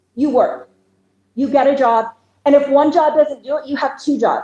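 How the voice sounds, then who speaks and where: A loud woman's voice, high-pitched, at a moderate pace. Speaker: county commissioner candidate. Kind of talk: campaign speech. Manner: animated.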